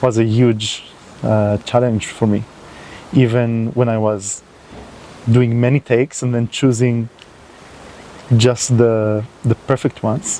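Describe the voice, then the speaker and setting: Someone with a non-native accent speaks at a very slow pace against noticeable background noise. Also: man. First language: not English. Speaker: environmental video creator. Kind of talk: unscripted monologue to camera. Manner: halting, with fillers.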